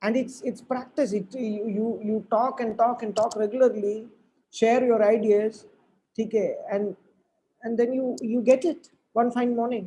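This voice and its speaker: The speaker talks at a fairly slow pace with a Keralan accent. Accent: Indian English, Malayali. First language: Malayalam. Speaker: motivational speaker. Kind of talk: lecture. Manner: halting, many repetitions.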